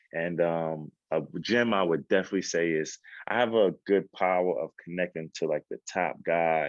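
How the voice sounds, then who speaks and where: A man with a New York accent and a very deep, low pitch, recorded with a dry, close sound, no echo, and a quiet background. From Queens, New York. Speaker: actor and entrepreneur. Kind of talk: podcast interview.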